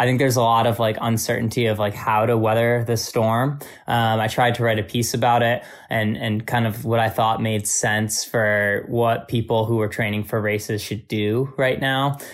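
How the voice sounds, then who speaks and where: A man talks at a moderate pace with a monotone, flat intonation. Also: medium pitch for a man, very even loudness. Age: 20s. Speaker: amateur marathon runner and running coach. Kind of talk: interview.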